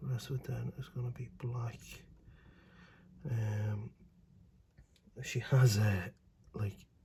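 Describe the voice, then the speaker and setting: Somewhat breathy and dark, mellow in tone, a man talks at a fairly slow pace with ordinary pitch variation. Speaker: miniature painting youtuber. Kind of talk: tutorial. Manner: casual, hesitant.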